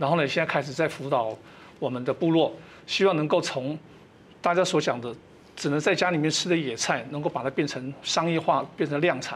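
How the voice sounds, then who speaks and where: A man with a normal speaking voice talks at a fairly quick pace, his fairly high pitch showing ordinary variation. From Taiwan, Amis, Hualien; Taiwan. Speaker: retired colonel and organic farmer; guest. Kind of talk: TV panel interview. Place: studio. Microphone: lapel.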